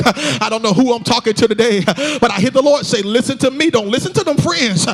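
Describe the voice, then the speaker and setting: A man with an extremely high pitch speaks in an energetic tone at a fairly quick pace. His intonation is lively, and there is noticeable background noise. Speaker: pastor. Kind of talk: sermon, preaching to a congregation. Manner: energetic, exhortative, call-and-response.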